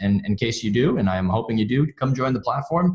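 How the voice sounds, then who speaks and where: A somewhat breathy man speaks at a very fast pace. His medium pitch moves with lively intonation. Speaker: software onboarding team lead. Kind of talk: webinar tutorial. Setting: office, online webinar. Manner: halting with fillers.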